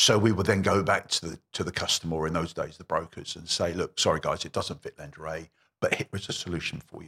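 In an English accent, a man talks at a very fast pace with big swings in loudness, the sound dry and close with no echo. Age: 60s. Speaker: mortgage broker. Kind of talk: interview. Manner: repeats words when speaking.

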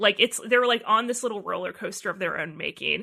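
Against a quiet background, a woman speaks with a fairly high pitch and a bright, sharp tone. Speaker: podcast host. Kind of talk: casual chat. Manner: fast talker.

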